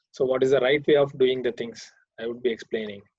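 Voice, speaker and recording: The speaker talks at a fairly quick pace in a Karnataka accent. Intonation is lively. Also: man. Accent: Indian English, Kannada. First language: Kannada. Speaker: programming teacher. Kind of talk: online class lecture. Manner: hesitant, many fillers.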